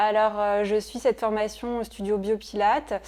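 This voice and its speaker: Her dark, mellow tone stays monotone, the woman's intonation flat throughout. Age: 30s. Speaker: Pilates trainee. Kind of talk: interview testimony. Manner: hesitant, many fillers.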